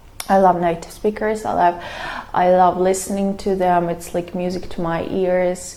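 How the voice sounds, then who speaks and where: Over noticeable background noise, a woman talks at a moderate pace. Her medium pitch stays in a monotone, flat intonation. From Russia, Moscow (Zelenograd). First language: Russian. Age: 30s. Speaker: vlogger. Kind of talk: casual vlog monologue. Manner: hesitant, with fillers and restarts.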